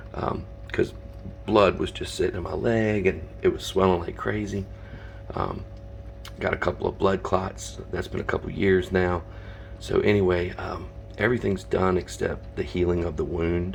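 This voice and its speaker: A man speaks quietly at a moderate pace. Long, frequent pauses break his speech amid noticeable background noise. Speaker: reptile and reef hobbyist YouTuber. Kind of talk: casual vlog. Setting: at home at night. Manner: quiet, hushed; hesitant, many fillers.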